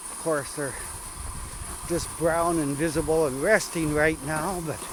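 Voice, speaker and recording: This man speaks slowly and in a relaxed tone, with a fairly high pitch and fairly even intonation. Audible room echo and noticeable background noise sit behind him. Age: 70s. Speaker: vlogger on rural walks. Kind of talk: casual vlog narration while walking. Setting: outdoors in snowy woodlot. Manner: relaxed, with filler words.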